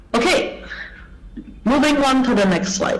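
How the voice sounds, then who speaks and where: At a moderate pace, a speaker with an Indonesian accent talks over noticeable background noise. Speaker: English language education speaker. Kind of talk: conference talk. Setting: online video presentation. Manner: hesitant, with fillers.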